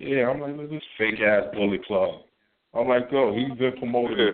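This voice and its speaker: A man speaks in an unremarkable speaking voice at a medium pitch. His pace is moderate and his pitch varies in an ordinary way. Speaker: caller. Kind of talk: casual chat. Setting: phone call.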